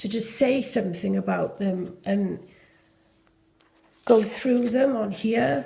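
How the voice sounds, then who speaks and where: A woman's fairly high voice in a Welsh accent, dark and mellow with vocal fry, lively intonation, a very slow pace and long, frequent pauses. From Wales. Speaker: junk journal maker. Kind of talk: casual journal flip-through talk to camera.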